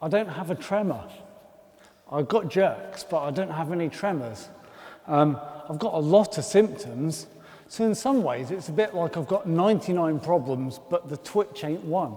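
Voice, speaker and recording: A man with a Birmingham accent speaks in a high voice at a moderate pace. His intonation is lively, and background noise is noticeable. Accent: Birmingham (Brummie) English. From Birmingham, England. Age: 40s. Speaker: comedian. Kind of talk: stand-up.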